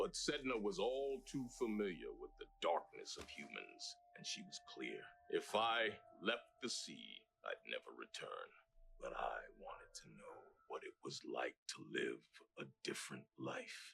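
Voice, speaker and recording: In a put-on character voice, a man speaks at a moderate pace with a solemn tone. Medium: voice reel. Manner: solemn, storytelling.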